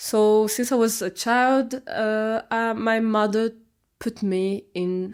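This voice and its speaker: Speaking very slowly in a fairly high pitch, a woman with a Brazilian Portuguese accent is heard in a very clean recording with a silent background. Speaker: artist and gardener, vlogger. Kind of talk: casual vlog monologue. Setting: talking to camera. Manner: halting, many fillers.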